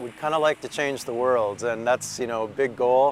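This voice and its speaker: Background noise is clearly audible as a man talks in a mid-range voice with fairly level intonation. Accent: American. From Minnesota, US Midwest. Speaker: professor and writer. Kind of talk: interview monologue. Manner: frequent fillers and self-corrections.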